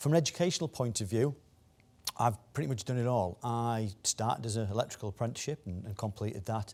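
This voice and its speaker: A man with a Teesside accent, very fast pace throughout. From northeast England, Teesside (Stockton-on-Tees). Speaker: technology executive, conference speaker. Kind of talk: conference talk. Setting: business conference, live and online. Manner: hesitant, many fillers and repetitions.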